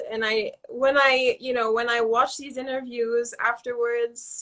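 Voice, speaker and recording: A woman's high voice with a bright, sharp tone. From US, Southern California. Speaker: author. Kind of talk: interview. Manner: hesitant, many fillers.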